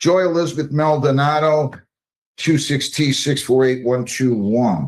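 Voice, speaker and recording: Against a quiet background, a man speaks in a fairly high pitch with very even loudness and ordinary pitch variation. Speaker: judge. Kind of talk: court proceedings. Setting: courtroom. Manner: brisk.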